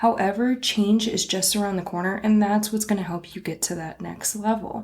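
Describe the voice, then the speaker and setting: Somewhat breathy, a woman talks at a moderate pace in a medium pitch. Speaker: small business podcast host. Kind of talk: solo podcast monologue. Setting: recording standing at a desk. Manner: animated.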